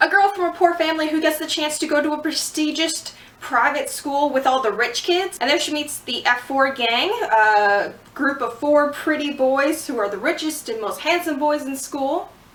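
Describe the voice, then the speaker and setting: The speaker moves at a moderate pace with ordinary pitch variation. Noticeable background noise and audible room echo are both present. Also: woman, high pitch for a woman. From Canada. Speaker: vlogger. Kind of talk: casual vlog review. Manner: casual, filler-heavy.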